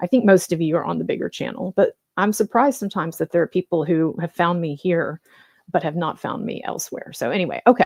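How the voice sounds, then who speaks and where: A soft-spoken woman at a fairly low pitch, very fast pace and lively intonation. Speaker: YouTube commentator. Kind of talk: informal live stream monologue. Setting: home live stream late at night. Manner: halting, many fillers.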